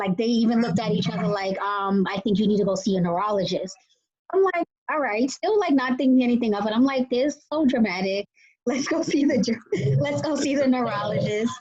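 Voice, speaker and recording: Speaking at a fairly quick pace with a Boston accent, a somewhat breathy woman uses a fairly high pitch, very wide pitch swings and big swings in loudness. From Boston area, Massachusetts. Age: 30s. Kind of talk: interview testimony. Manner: casual, filler-heavy.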